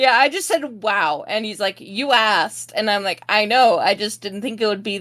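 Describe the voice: Ordinary pitch variation in plain reading aloud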